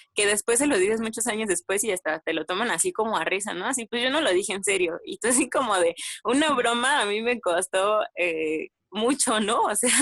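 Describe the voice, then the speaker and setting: With an unremarkable speaking voice, a woman talks at a fairly quick pace, fairly high in pitch with lively intonation, in a dry, close sound with no echo. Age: 20s. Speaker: podcast guest. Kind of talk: casual chat.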